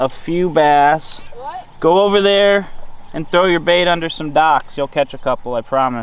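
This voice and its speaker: This man's voice is fairly high in pitch and rises and falls in an ordinary way. Noticeable background noise runs under it. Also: moderate pace. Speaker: fishing youtuber. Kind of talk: vlog commentary while fishing. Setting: outdoors in a kayak on a lake.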